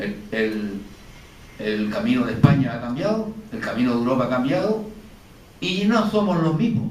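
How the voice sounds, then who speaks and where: A man with very wide pitch swings and long, frequent pauses, amid noticeable background noise and audible room echo. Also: fairly high pitch for a man, moderate pace. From Canary Islands. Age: 70s. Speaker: painter. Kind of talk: panel discussion. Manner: halting.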